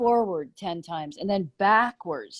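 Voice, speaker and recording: A woman with an American accent talks at a fairly slow pace in an ordinary speaking voice. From US East Coast. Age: 50s. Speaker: muscular therapist and paddling trainer. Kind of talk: interview conversation. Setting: live video stream.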